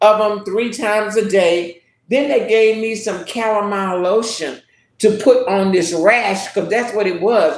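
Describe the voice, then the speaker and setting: With an American accent, a woman speaks at a fairly slow pace in a fairly high voice, her tone animated, with audible room echo. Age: 70s. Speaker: YouTube livestream host. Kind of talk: casual live-stream chat.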